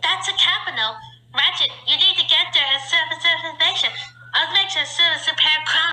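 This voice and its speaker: Pitched extremely high, the put-on character voice proceeds at a moderate pace. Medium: fan dub.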